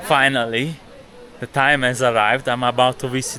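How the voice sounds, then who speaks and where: Noticeable background noise accompanies a man's voice. He speaks at medium pitch with fairly even intonation. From Italy. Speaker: travel and spirituality vlogger. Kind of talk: travel vlog narration. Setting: outdoors in a Himalayan village.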